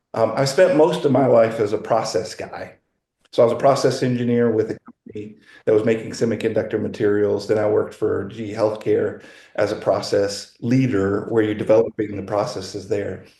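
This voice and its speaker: Speaking at a fairly quick pace, a man talks in an American accent. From US Midwest, Wisconsin. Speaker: data consultant, former process engineer. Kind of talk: online masterclass talk. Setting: video call.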